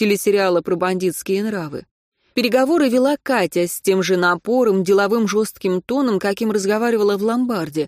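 A quiet background, plain reading aloud, and ordinary pitch variation

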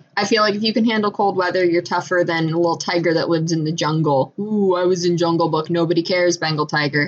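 Through noticeable background noise, a woman at a fairly low pitch rushes at a very fast pace with hardly any pauses and fairly even intonation. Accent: American. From Michigan. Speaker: podcast co-host. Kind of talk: casual chat. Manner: hesitant, many fillers.

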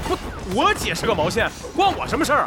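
A man's put-on character voice, extremely high-pitched, bright and sharp in tone, fast-paced, with very wide pitch swings over faint music in the background

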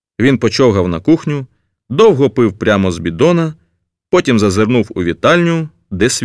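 Over a quiet background, the speaker uses a natural reading voice.

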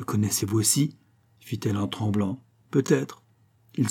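Here a voice reads in a natural way.

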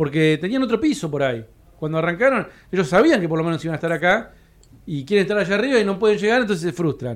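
A man with a high pitch talks at a very fast pace with lively intonation. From Argentina, Patagonia (Cipolletti). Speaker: comedy producer. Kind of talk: panel discussion. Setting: stage with live audience.

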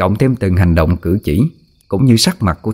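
The intonation rises and falls in a lively way. The text is read aloud plainly.

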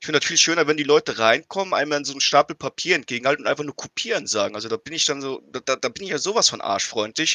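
Man's fairly high voice at a very fast pace, with lively intonation. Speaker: podcast co-host. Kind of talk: casual chat.

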